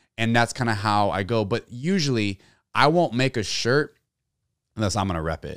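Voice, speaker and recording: Using a plain, everyday voice, a man with an American accent talks at a moderate pace in a medium pitch with lively intonation. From Texas, San Antonio. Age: 30s. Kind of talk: casual interview. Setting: studio.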